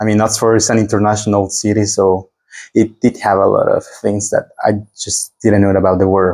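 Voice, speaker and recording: Monotone and flat, a man with a Spanish accent talks at a moderate pace in a fairly low voice, his loudness very even. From Mexico. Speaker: exchange student. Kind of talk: interview. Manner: halting.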